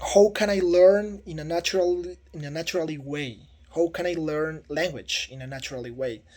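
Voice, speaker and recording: A man speaks with a Spanish accent at a moderate pace. His fairly high pitch has ordinary variation, and his loudness swings widely. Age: 30s. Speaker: teaching job applicant. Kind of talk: video self-introduction for job application. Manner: halting, with repetitions and fillers.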